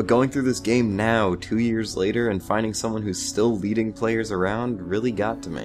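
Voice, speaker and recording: A man's medium-pitched voice is heard with music in the background. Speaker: video game reviewer. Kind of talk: game review narration.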